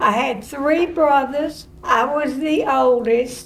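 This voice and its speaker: At a very slow pace, a woman speaks in a high pitch, with audible room echo around her. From Tennessee, Cheatham County (rural). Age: 80s+. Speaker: retired drama teacher. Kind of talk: interview.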